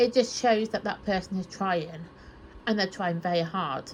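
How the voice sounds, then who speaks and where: With a British accent, a woman speaks at a medium pitch, somewhat breathy, with ordinary pitch variation. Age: 30s. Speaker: Bible study YouTuber. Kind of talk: casual chat. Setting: in her bedroom, on her bed. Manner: soft-spoken.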